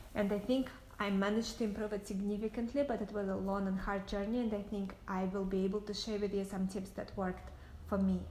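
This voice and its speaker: A woman with a medium pitch and a slight Russian accent speaks at a very fast pace in a monotone, flat intonation. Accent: light Russian. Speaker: entrepreneur. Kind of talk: casual talk to camera.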